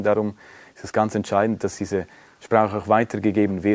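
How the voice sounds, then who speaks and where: A Swiss accent at a moderate pace. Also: man. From Romansh-speaking Switzerland. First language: Romansh (speaking Dutch). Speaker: interviewee, Romansh speaker. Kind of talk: interview.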